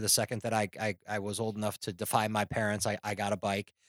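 On a very clean, dry, close recording with no echo and a silent background, a man with an American accent talks at a very fast pace. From Chicago, US Midwest. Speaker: podcast host. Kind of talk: interview. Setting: on location at a patrol office. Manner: halting, many fillers and repeats.

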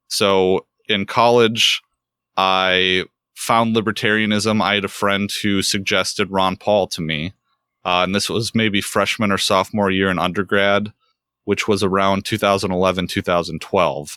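Dry and close with no echo, a man's bright, sharp voice sits at a fairly low pitch and moves at a moderate pace. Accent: American. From US Midwest, north central Wisconsin. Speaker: law student or legal professional. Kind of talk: interview. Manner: halting, many fillers.

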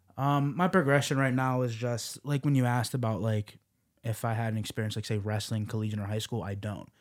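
A man with an unremarkable speaking voice talks at a fairly quick pace in a medium pitch, his pitch varying in an ordinary way, on a very clean recording with a silent background. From Las Vegas. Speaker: MMA fighter. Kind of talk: casual chat. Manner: casual.

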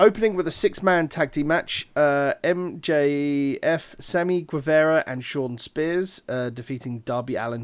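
Here a man has an unremarkable speaking voice, a fairly high pitch and lively intonation, with big swings in loudness. He goes at a fairly slow pace with hardly any pauses, on a very clean recording with a silent background. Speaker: wrestling podcast host. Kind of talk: casual chat.

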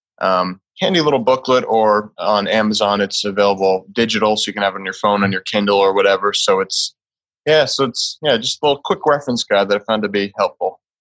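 This is an ordinary speaking voice from a man, fairly low in pitch with ordinary pitch variation. He talks at a fairly quick pace in a dry, close sound with no echo. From Massachusetts. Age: 20s. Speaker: holistic lifestyle coach. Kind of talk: interview.

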